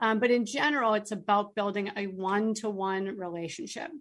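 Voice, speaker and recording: In an American accent, a woman uses a normal speaking voice, fairly high in pitch, at a moderate pace with ordinary pitch variation. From northern Massachusetts. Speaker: sales coach. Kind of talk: radio interview.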